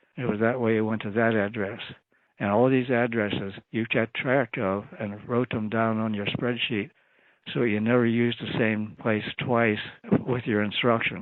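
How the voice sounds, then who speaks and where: Monotone, flat intonation marks this man's medium-pitched speech at a moderate pace. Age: 90s. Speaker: retired FBI agent and cryptanalyst. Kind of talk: interview answer.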